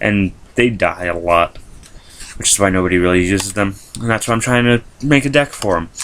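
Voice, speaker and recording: A fairly quick voice with ordinary pitch variation, long and frequent pauses, and noticeable background noise. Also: man, fairly low pitch for a man. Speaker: YouTuber showing a card game deck. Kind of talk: deck profile video, casual explanation. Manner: fast; hesitant with many fillers.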